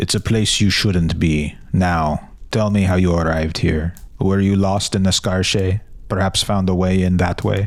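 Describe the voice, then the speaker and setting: A put-on character voice at a moderate pace, with very even loudness and fairly even intonation. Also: man, very deep, low pitch for a man. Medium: read story. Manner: brisk, authoritative.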